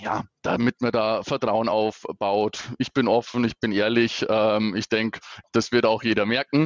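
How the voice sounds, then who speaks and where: This man's delivery is fairly slow and monotone, with flat intonation. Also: medium pitch for a man. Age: 30s. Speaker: regional sales manager. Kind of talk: casual interview.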